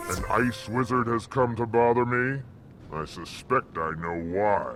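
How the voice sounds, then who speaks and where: A man puts on a character voice at a medium pitch, speaking fairly slowly over clear background noise. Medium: video game. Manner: grave, poetic.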